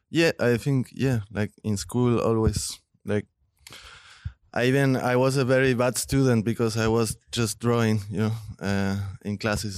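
Speaking at a fairly slow pace in a Spanish accent, a man uses a medium pitch with ordinary pitch variation, in a dry, close sound with no echo and a quiet background. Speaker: visual artist. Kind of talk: interview.

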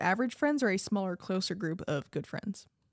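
A woman with an ordinary speaking voice and ordinary pitch variation is heard in a dry, close sound with no echo. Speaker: podcast co-host. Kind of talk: casual chat. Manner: laughs often.

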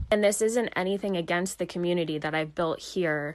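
A woman speaks in a plain, everyday voice at a fairly low pitch. Her pace is moderate, her pitch variation ordinary, and the background quiet. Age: 30s. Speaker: life coach and faith podcast host. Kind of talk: casual solo podcast talk. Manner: conversational, laughing at times.

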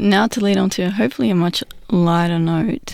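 The speaker is a woman. Her words come in an Australian accent. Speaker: radio producer, interviewer. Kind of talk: interview.

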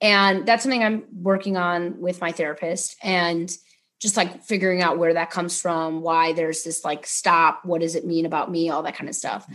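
Against a quiet background, a woman with an American accent uses a normal speaking voice at fairly low pitch with fairly even intonation. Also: moderate pace. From Ohio, US Midwest. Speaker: public defender attorney. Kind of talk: casual interview.

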